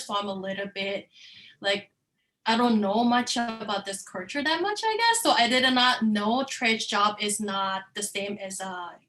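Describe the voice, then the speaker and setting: The speaker has a Korean accent. The pace is moderate. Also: woman. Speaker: course participant. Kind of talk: online class discussion.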